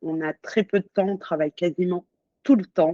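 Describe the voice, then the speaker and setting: A woman's dark, mellow tone with ordinary pitch variation comes through a dry, close sound with no echo and a quiet background. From grew up abroad, born in Auvergne. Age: 30s. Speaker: entrepreneur. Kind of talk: interview. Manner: hesitant, many fillers.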